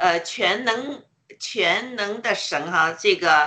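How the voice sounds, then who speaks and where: With a bright, sharp tone and lively intonation, a woman speaks very slowly at a medium pitch. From China. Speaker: participant in online worship. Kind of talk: testimony. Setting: online audio room. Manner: halting, many fillers.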